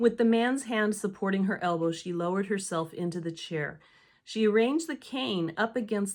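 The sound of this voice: An unforced reading voice, with pitch moving in ordinary ways.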